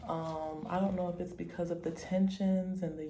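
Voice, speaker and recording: A woman with an American accent talks amid audible room echo. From United States. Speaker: travel vlogger. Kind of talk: travel vlog; casual chat.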